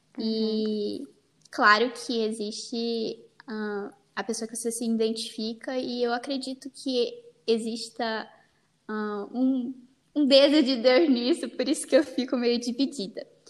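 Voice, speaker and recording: A woman talks at a fairly slow pace with a high pitch. Her intonation is fairly even. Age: young. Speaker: podcast host on fashion, beauty and faith. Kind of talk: casual chat.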